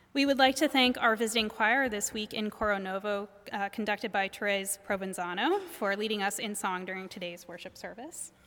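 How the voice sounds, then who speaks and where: A bright, sharp-toned voice moves at a fairly quick pace with hardly any pauses and ordinary pitch variation. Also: woman, medium pitch for a woman. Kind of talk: announcements. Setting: church.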